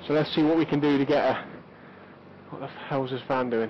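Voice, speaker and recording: Over noticeable background noise, a man speaks at a very fast pace in a fairly high pitch. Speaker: motorcycle vlogger. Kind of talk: vlog, bike review. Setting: outdoors on a motorbike. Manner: soft-spoken.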